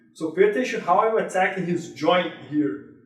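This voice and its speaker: Audible room echo follows a man speaking at a high pitch. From Brazil. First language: Portuguese. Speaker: jiu-jitsu instructor. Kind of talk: tutorial. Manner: halting.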